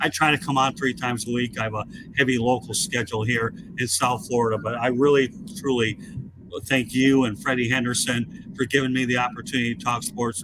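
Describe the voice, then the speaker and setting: A man talks at a fairly quick pace with a medium pitch and ordinary variation. Noticeable background noise can be heard. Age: 60s. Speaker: sports media host. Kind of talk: casual chat.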